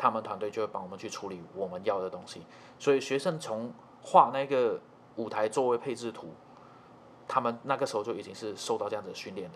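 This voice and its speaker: With a normal speaking voice, a man talks at a fairly quick pace, his loudness swinging widely and his pitch variation ordinary. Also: medium pitch for a man. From Malaysia. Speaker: trumpet player and music teacher. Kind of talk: casual interview chat.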